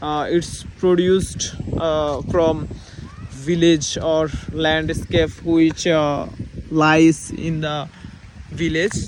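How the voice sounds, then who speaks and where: A man with a Bangladeshi accent speaks very slowly at a fairly high pitch, flat and monotone, with long, frequent pauses. Noticeable background noise runs underneath. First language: Bengali. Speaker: English learner vlogger. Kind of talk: casual vlog speaking practice. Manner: halting, many fillers.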